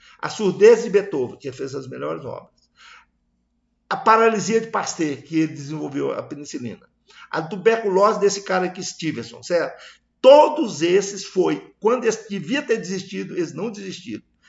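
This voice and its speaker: Speaking at a moderate pace, a man with a high pitch makes very wide pitch swings and big swings in loudness. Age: 70s. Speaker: agronomist presenting a project. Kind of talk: presentation. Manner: halting.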